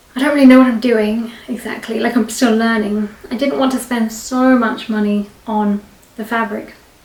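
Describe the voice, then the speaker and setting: Noticeable background noise behind a woman's moderate-paced speech. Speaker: craft vlogger. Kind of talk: casual vlog talk. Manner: chatty, rambling with fillers.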